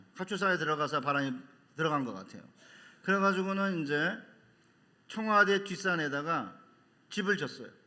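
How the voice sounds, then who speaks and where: A man with a high, bright, sharp voice talks fairly quickly but with long, frequent pauses. Room echo is audible. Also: ordinary pitch variation. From Seoul, South Korea (born in North Chungcheong). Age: 60s. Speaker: seminary professor and pastor. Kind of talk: sermon.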